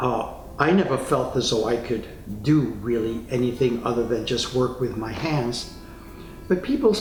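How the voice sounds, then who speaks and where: With lively intonation and an American accent, a man speaks at a fairly slow pace in a medium pitch. Music plays in the background, and room echo is audible. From New York City, Spanish Harlem. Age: 80s+. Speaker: retired psychotherapist. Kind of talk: interview testimony.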